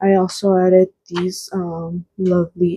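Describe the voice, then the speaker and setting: A woman's voice at a medium pitch with a dark, mellow tone, the sound dry and close with no echo. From United States, Mexican-American family. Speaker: craft YouTuber. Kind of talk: product flip-through tutorial. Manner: casual, filler-heavy.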